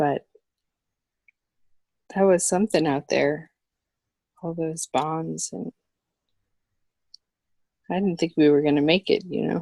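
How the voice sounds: A woman's put-on character voice, low in pitch with vocal fry and a dark, mellow tone, fairly even intonation, a slow pace and long, frequent pauses in a dry, close sound with no echo.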